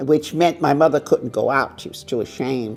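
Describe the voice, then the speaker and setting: Over music in the background, a woman talks with lively intonation. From Brooklyn, New York. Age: 80s+. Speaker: interviewee sharing life story. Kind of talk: oral history interview. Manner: halting.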